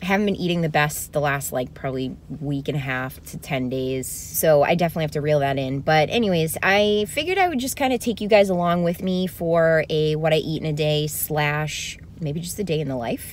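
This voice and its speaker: A woman with a very deep, low pitch speaks at a fairly quick pace with ordinary pitch variation, a dry sound with no echo and light background noise. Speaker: lifestyle vlogger. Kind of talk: casual vlog chat. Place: car. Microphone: phone near.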